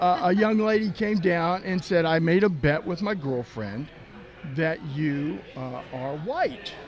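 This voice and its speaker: A man with a Texan accent speaks at a very slow pace in a high pitch with lively intonation, with noticeable background noise behind him. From Texas. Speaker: sports team mascot performer. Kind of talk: casual chat.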